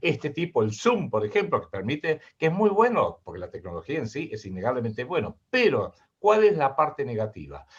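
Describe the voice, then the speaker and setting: With a Rioplatense accent, a man talks at a fairly quick pace with hardly any pauses, his fairly high pitch making very wide swings and carrying vocal fry. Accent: Argentine Spanish (rioplatense, voseo). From Argentina. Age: 60s. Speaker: geopolitical analyst and writer. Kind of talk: interview.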